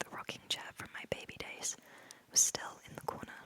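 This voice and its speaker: Whispering comes from a woman at a moderate pace. Behind her, noticeable background noise is audible. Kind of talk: audiobook-style reading of a novel in first person. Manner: close-up whispered.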